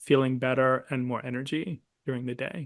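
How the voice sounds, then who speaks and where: A man with an ordinary speaking voice, fairly high-pitched, at a moderate pace against a quiet background. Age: 60s. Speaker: naturopathic physician and supplement product developer. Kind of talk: interview. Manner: conversational with fillers.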